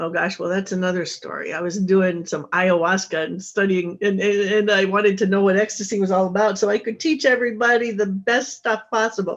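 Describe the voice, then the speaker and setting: A woman talks at a fairly quick pace with hardly any pauses, in a plain, everyday voice. Her medium pitch has ordinary variation. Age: 60s. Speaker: author and intimacy coach. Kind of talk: interview.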